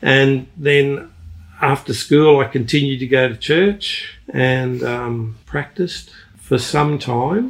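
In a somewhat breathy voice with fairly high pitch, a man speaks at a very slow pace. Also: ordinary pitch variation. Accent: Australian. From Australia. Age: 60s. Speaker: retired engineer. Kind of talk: casual interview. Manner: halting, searches for words.

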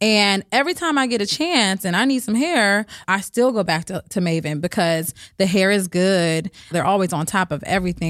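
In an unremarkable speaking voice, a woman with an American accent talks at medium pitch and a moderate pace with lively intonation, in a dry, close sound with no echo on a very clean recording with a silent background. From Berkeley and East Oakland, California. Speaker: hair stylist. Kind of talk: interview.

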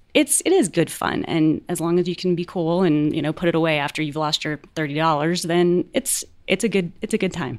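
With an American accent and a plain, everyday voice, a woman speaks in a fairly low pitch with ordinary variation and hardly any pauses, on a very clean recording with a silent background. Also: fairly quick pace. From US South. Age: 40s. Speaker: magazine editor. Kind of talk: casual chat.

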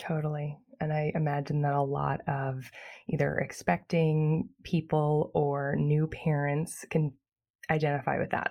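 A woman speaks at a fairly slow pace in a very deep, low pitch. Her tone is dark and mellow, and the background is quiet. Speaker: podcast host and birth class teacher. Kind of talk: casual interview chat. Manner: soothing.

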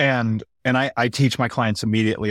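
This man has a plain, everyday voice at a medium pitch with ordinary pitch variation. The sound is dry and close with no echo, in a very clean recording over a silent background. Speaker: podcast host and trauma coach. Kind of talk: casual panel conversation.

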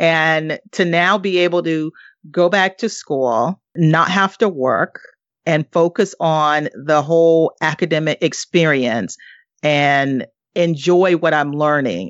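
In an American accent, a woman with a very deep, low pitch talks at a very slow pace, with ordinary pitch variation and very even loudness. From US South. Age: 40s. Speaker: retired corporate employee and investor. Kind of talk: interview.

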